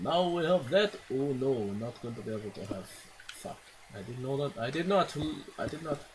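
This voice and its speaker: A man talks with very wide pitch swings. Noticeable background noise runs behind him. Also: medium pitch for a man, moderate pace. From Scotland. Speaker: gaming YouTuber. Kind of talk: gameplay commentary. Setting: home recording with microphone. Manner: animated.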